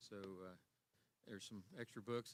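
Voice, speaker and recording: A man speaks with a bright, sharp tone. His pace is fairly quick and his intonation fairly even. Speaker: Sunday school teacher. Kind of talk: Bible class teaching. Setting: church. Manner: loud.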